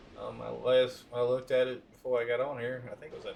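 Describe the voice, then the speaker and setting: The pace is fairly slow. Room echo is audible. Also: man. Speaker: gaming streamer. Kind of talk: live stream commentary. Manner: loud; casual, hesitant with fillers.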